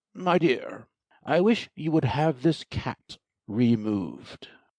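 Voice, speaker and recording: A man puts on a character voice with very wide pitch swings. The sound is dry and close, with no echo. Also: fairly high pitch for a man, fairly slow pace. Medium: audio drama. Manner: pompous, peevish.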